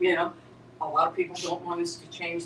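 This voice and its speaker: Noticeable background noise surrounds a woman speaking at a moderate pace. Her fairly low voice keeps a monotone, flat intonation. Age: 70s. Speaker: spiritual teacher. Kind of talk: spiritual group discussion. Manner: halting, with many repeated words.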